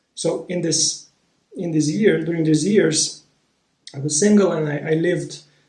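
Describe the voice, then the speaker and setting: Speaking with a Romanian accent, a man uses a high pitch, fairly even intonation and a moderate pace, with long, frequent pauses. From Moldova. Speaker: spiritual vlogger, former relationship coach. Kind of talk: personal storytelling monologue. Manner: halting, with many repetitions and fillers.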